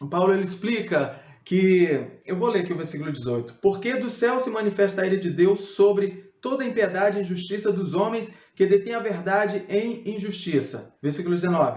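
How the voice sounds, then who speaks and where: This man has a high pitch. He speaks with hardly any pauses. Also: ordinary pitch variation, moderate pace. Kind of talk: biblical teaching video.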